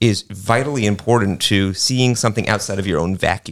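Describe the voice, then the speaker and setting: On a very clean recording with a silent background, a man in a plain, everyday voice with a fairly low pitch and lively intonation talks at a fairly quick pace. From New York City. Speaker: art museum director. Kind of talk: radio panel discussion.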